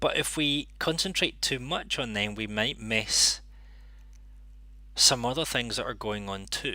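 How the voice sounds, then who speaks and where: A fairly slow pace with long, frequent pauses, a bright, sharp tone, ordinary pitch variation and vocal fry, in a Scottish accent. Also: man, medium pitch for a man, very clean recording, silent background. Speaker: interpreting channel host. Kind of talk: live stream monologue.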